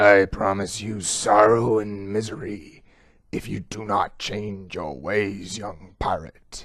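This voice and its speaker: A man does a put-on character voice that is raspy and rumbling, fairly low in pitch, at a fairly slow pace. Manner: warning.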